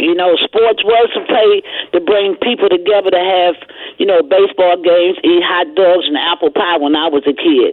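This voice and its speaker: Medium pitch from a woman, with ordinary pitch variation, very even loudness, a moderate pace and noticeable background noise. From Baltimore. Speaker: radio caller. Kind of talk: call-in radio. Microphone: loud and clear line.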